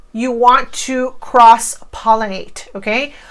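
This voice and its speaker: The tone is animated. It belongs to a woman. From Cuba. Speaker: online marketing coach. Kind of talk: tutorial.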